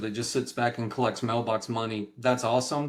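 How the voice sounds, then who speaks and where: In a very clean recording with a silent background, a man with an East Texas accent talks at a fairly quick pace. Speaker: real estate professor. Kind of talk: interview.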